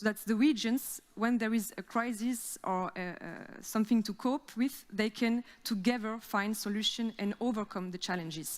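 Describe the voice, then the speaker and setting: A woman's fairly high voice in a French accent, moderate in pace, with fairly even intonation. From France. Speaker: regional cooperation officer. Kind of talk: conference presentation. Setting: theater stage with audience. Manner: halting, many fillers.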